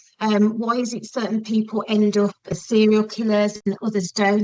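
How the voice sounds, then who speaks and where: A woman speaks in a West Midlands accent at a medium pitch. Her intonation is monotone and flat, and her pace moderate. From West Midlands, England. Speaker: podcast guest, forensic psychology student. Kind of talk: casual interview chat. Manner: hesitant, many 'um' fillers.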